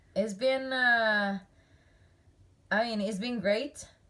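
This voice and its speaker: A woman speaks with an Italian accent in a bright, sharp tone. Her pitch sits fairly high, with ordinary variation. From Italy, central east coast. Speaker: dressage rider and trainer. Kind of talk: casual interview chat. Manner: halting, with many fillers.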